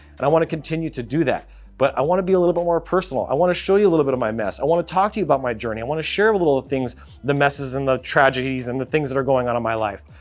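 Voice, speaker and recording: With music playing behind him, a man with a fairly high voice talks at a very fast pace in an animated tone with lively intonation. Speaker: graphic designer and YouTuber. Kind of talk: vlog monologue.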